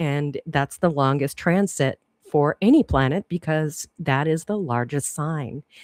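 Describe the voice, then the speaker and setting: Speaking at a fairly slow pace with lively intonation, a woman is heard in a very clean recording with a silent background and a dry, close sound with no echo. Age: 60s. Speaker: astrologer. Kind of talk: live stream talk. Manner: casual, rambling with fillers.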